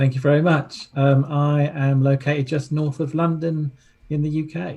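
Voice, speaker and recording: A man with a British accent speaks at a moderate pace in a fairly high pitch, his tone dark and mellow. The delivery is monotone and flat, and somewhat breathy. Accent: British accent, noted by host. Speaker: relationship coach. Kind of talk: interview.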